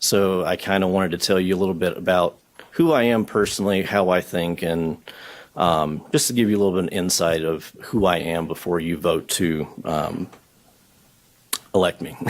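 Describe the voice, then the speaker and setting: Speaking at a moderate pace with a Southern US accent, a man uses a very deep, low voice and fairly even intonation. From US South, southwest Georgia. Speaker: county board candidate. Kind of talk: formal address to a board. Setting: board meeting at a podium with audience. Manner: hesitant, many fillers.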